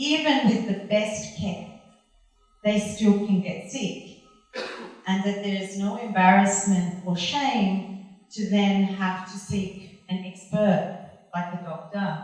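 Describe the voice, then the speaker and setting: Very slow speech with ordinary pitch variation, audible room echo, and music in the background. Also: woman, medium pitch for a woman. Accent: Australian. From Australia. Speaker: art conservator. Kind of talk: lecture. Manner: loud.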